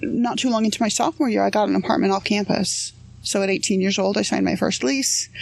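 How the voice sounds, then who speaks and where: A woman's very fast, very evenly loud speech amid noticeable background noise. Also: medium pitch for a woman. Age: 40s. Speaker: psychologist. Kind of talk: interview storytelling.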